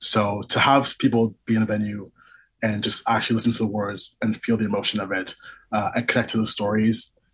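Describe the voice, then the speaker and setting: At a fairly quick pace, a man with a fairly low pitch talks in a monotone, flat intonation. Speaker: singer-songwriter. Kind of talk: casual interview.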